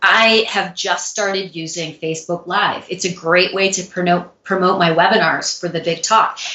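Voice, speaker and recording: A woman with an American accent speaks at a moderate pace and medium pitch. Hers is an ordinary speaking voice, with fairly even intonation. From US Midwest, St. Louis. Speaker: public speaking coach and former dancer. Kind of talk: interview.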